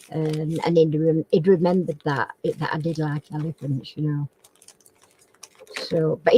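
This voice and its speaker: A woman with a northern English accent at a moderate pace, in a dry, close sound with no echo. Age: 70s. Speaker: crafting channel host. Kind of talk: casual chat. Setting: live stream chat. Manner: halting.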